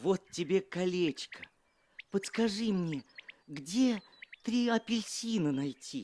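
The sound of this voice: A man puts on a character voice, pitched high with a slightly mellow tone. He delivers it slowly with lively intonation.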